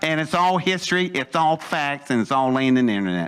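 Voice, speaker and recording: Speaking with an American accent, a man with a fairly high pitch talks at a fairly quick pace in an animated tone with lively intonation. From West Virginia. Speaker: storyteller speaker. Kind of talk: talk to an audience.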